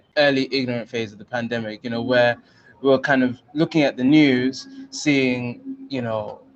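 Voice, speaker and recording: A man talks at a moderate pace with a British accent. His medium-pitched voice comes through noticeable background noise. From London, England. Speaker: journalist. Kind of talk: guest lecture. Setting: video call. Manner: many fillers, halting.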